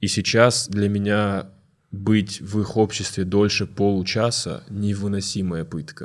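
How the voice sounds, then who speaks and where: A fairly low-pitched man at a very slow pace, intonation fairly even. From North Ossetia. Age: 20s. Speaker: stand-up comedian. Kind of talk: casual chat.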